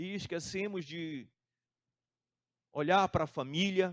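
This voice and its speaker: In a very clean recording with a silent background, a man with a high pitch speaks with ordinary pitch variation. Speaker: pastor. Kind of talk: sermon.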